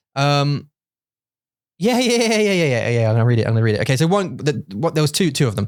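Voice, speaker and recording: On a very clean recording with a silent background, a speaker with an English accent talks very fast in an animated tone, pitch swinging very widely while loudness stays very even. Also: man, fairly high pitch for a man. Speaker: podcast host. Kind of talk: casual chat.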